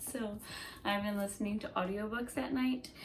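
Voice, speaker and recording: A woman speaks at a moderate pace with an unremarkable speaking voice, medium pitch and ordinary pitch variation. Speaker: book vlogger. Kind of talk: casual chat.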